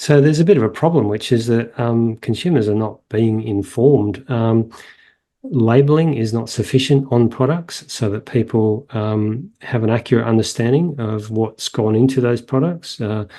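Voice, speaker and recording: A man speaks with an Australian accent at medium pitch and a moderate pace. His tone is dark and mellow, with ordinary pitch variation over a quiet background. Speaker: veterinarian and animal welfare professor. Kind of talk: interview answer.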